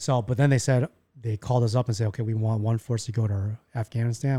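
With a Chicago accent, a man talks at a very fast pace in a somewhat breathy voice with a dark, mellow tone. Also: dry, close sound with no echo, very clean recording, silent background. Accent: American, Chicago. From US Midwest, Chicago. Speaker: army veteran. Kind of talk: casual chat.

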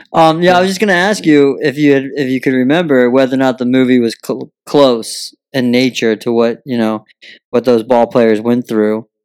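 A man at medium pitch with a normal speaking voice, moderate pace and ordinary pitch variation. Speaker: podcast host. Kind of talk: casual interview. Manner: jokey.

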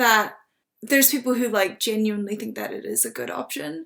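Bright, sharp tone in a New Zealand accent, on a very clean recording with a silent background. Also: woman. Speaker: recent university student and writer. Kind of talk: casual interview conversation. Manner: hesitant, many fillers.

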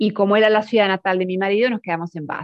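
Talking at a very fast pace, a woman speaks with an Argentine accent. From Argentina, Mar del Plata. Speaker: language teacher. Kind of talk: casual chat.

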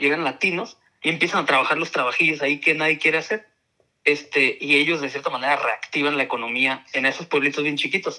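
Bright and sharp in tone, a man speaks at a fairly quick pace with a fairly high pitch. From Tijuana, Mexico. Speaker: university lecturer. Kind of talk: casual chat.

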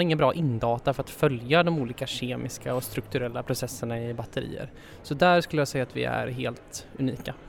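An unremarkable speaking voice from a man, with ordinary pitch variation at a moderate pace. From Sweden. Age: 20s. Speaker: development engineer. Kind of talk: interview.

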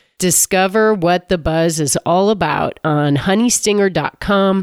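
A woman talks at a very slow pace with a medium pitch and ordinary pitch variation. The recording is very clean, with a silent background and a dry, close sound with no echo. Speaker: podcast host and former triathlete. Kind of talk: casual interview.

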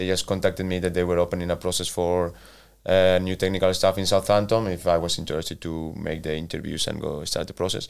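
A man's very deep, low voice with a Spanish accent, very fast and monotone, flat in intonation, on a very clean recording with a silent background. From Spain, Valencia. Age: 40s. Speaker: football manager. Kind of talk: interview. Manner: halting.

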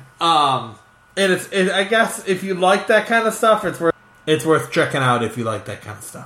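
A man speaks at a high pitch, with very wide pitch swings and big swings in loudness. Noticeable background noise is present. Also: moderate pace. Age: 40s. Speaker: podcast co-host. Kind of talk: casual chat.

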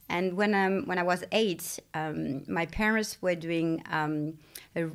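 A woman's fairly low voice with ordinary pitch variation, in a French accent. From France. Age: 40s. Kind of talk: interview. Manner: halting, with many fillers.

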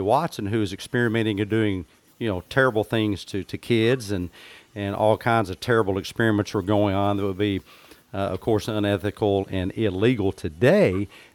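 A normal speaking voice at a moderate pace, with ordinary pitch variation. The sound is dry and close with no echo, in a very clean recording with a silent background. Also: man. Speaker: psychologist and podcast host, running cameras. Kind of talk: casual panel discussion.

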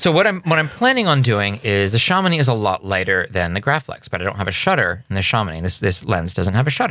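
Very fast speech with hardly any pauses, a bright, sharp tone and very wide pitch swings, on a very clean recording with a silent background. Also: man, fairly low pitch for a man. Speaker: podcast co-host, film photographer. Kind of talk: casual chat with scripted narration segments. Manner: jokey, irreverent.

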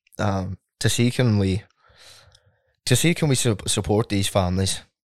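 Recorded very cleanly against a silent background, with a dry, close sound and no echo, a man speaks at a fairly low pitch in a Donegal accent. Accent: Donegal Irish. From Ireland, southwest County Donegal. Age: 20s. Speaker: singer-songwriter. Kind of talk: casual interview chat.

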